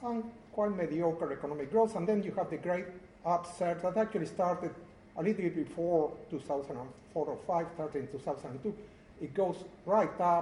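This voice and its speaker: A man with a Spanish accent speaks at a moderate pace in a high voice with ordinary pitch variation and audible room echo. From Uruguay. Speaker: professor. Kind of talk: lecture.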